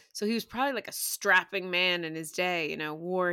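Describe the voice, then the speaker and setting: With a New York accent, a woman speaks in a medium pitch and a bright, sharp tone with ordinary pitch variation, on a very clean recording with a silent background. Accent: New York American. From New York City, Staten Island. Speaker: guest, comedian. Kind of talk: casual chat. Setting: London-based.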